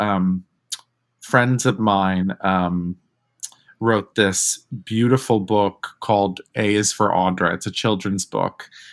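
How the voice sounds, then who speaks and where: Very slowly, a man with an American accent speaks in a fairly low pitch with fairly even intonation. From New York. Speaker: drag performer and theater actor. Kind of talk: interview.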